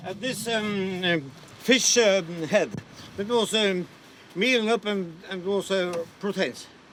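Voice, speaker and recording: A man's high voice at a very slow pace, with ordinary pitch variation and noticeable background noise. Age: 70s. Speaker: retired fisherman and sea captain. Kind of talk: interview. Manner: halting.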